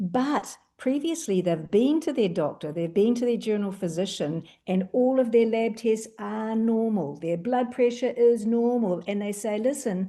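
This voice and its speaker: A woman speaks in a New Zealand accent. Her tone is dark and mellow, with fairly high pitch. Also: lively intonation, moderate pace, quiet background. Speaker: health practitioner. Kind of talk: panel discussion.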